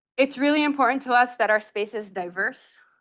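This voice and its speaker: A woman at a fairly quick pace, with a slight non-native accent. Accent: barely noticeable non-native. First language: not English. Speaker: nonprofit director. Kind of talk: seminar talk. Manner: conversational, casual.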